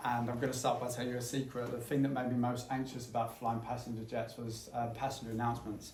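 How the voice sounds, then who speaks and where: A man with a medium-pitched voice races along at a very fast pace, hardly pausing and keeping a flat, monotone intonation over noticeable background noise. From England, Essex. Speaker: former airline pilot, climate campaigner. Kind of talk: public talk / commentary.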